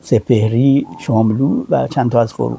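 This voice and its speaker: A man speaks in a dark, mellow tone. Vocal fry runs through his voice. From Iran. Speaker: translator and publisher. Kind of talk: interview. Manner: halting, many fillers.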